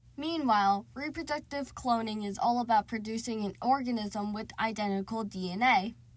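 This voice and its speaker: A woman with a somewhat breathy, fairly high voice talks at a moderate pace with ordinary pitch variation. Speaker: student. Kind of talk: educational explainer narration.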